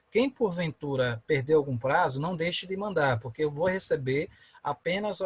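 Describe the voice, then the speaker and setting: A normal speaking voice from a man at fairly high pitch, with ordinary pitch variation, a moderate pace and a dry, close sound with no echo. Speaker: law professor. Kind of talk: online lecture. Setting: video call.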